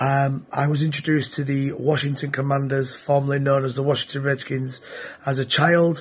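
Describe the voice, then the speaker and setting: At a moderate pace, a man speaks in a monotone, flat intonation amid noticeable background noise. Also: fairly high pitch for a man. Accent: British. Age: 30s. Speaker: NFL fan. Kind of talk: self-recorded fan testimony.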